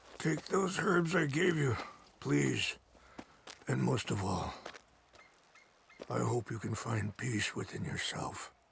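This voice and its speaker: Using a put-on character voice, a man speaks raspily at medium pitch. His pace is fairly slow, broken by long, frequent pauses. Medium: video game. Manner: calm, measured.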